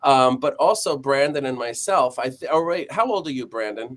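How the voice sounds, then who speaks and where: A man at a fairly high pitch and moderate pace, with a plain, everyday voice. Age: 40s. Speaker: live stream host, acting school. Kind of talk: casual chat.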